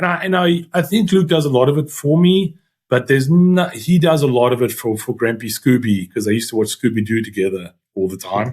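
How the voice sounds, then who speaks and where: A man with a South African accent talks at a fairly quick pace with hardly any pauses. His voice is somewhat breathy, with very wide pitch swings. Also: medium pitch for a man. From South Africa, Eastern Cape (Uitenhage). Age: 40s. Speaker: youth rugby coach and banker. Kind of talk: interview conversation. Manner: halting, many fillers.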